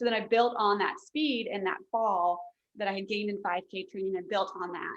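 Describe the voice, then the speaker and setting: A woman with an American accent and a normal speaking voice, medium pitch, lively intonation and a fairly quick pace. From Fairfax County, Virginia. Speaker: author, marathon runner. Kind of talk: casual interview chat.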